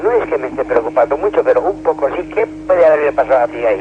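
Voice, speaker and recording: Man talking at a very fast pace over noticeable background noise. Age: 60s. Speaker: caller. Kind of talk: radio call-in story. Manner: halting.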